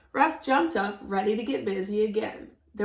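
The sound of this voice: Delivered in an unforced reading voice, the speech shows ordinary pitch variation.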